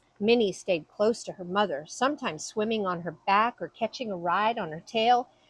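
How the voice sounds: Ordinary pitch movement runs through the delivery. It is a natural reading voice.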